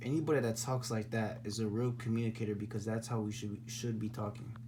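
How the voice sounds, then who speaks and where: Room echo is audible as a man at a medium pitch talks at a very fast pace. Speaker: spiritual vlogger. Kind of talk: casual monologue. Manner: halting, repetitive; animated.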